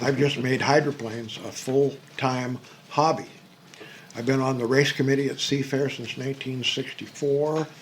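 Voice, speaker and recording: There is noticeable background noise as a man talks in an American accent. He keeps a moderate pace and fairly even intonation. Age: 80s+. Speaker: museum volunteer and memorabilia collector. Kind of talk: casual interview. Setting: hydroplane museum.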